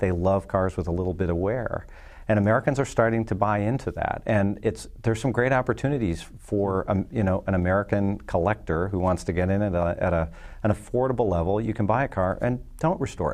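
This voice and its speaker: A man talks at a fairly quick pace in a plain, everyday voice, fairly low in pitch with ordinary pitch variation. The background is quiet. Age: 40s. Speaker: insurance company executive. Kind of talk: casual chat. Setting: studio.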